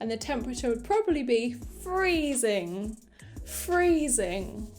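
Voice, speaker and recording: Over music in the background, a woman with a British accent and a high pitch speaks very slowly, with very wide pitch swings. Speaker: English teacher. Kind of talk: English lesson to camera, beginner vocabulary. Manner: clear, slow, repeating each word.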